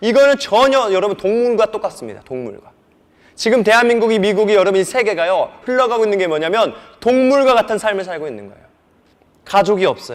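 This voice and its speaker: Animated and fairly quick, a man talks in a high pitch with ordinary pitch variation and big swings in loudness. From South Korea, North Jeolla (rural Buan/Jeonju). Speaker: pastor. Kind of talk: sermon / lecture on sex education to church youth. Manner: animated, conversational with rhetorical questions.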